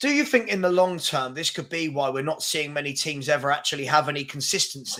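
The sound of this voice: A man's fairly high voice, bright and sharp in tone, at a fairly quick pace with ordinary pitch variation.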